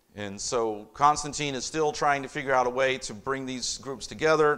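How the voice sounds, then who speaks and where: Against a quiet background, a man speaks at a moderate pace in an unremarkable speaking voice. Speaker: pastor teaching a church history class. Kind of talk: lecture.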